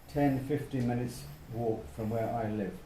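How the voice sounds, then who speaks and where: A man speaks at a medium pitch with ordinary pitch variation and a somewhat breathy quality, with audible room echo around him. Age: 70s. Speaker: retired local resident. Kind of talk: casual interview.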